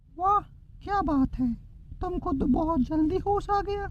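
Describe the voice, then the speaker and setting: Background noise is clearly audible. The speaker uses a cartoonish character voice. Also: female-sounding voice, extremely high pitch for a woman, moderate pace. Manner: taunting, menacing.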